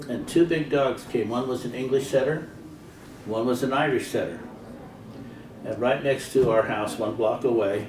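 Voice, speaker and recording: A man's medium-pitched voice with an American accent, over noticeable background noise. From US West, Pocatello, Idaho. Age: 70s. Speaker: elderly man recording childhood memories. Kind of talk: casual reminiscing.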